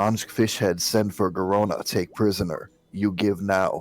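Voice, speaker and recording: A man's booming put-on character voice, fairly low in pitch, at a moderate pace over faint background music. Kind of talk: broken, terse speech.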